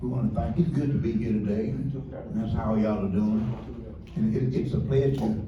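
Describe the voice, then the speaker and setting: A man talks at a fairly quick pace in a medium pitch with lively intonation. Noticeable background noise and audible room echo are present. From US South, northern Alabama. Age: 70s. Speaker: community resident. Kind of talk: testimony.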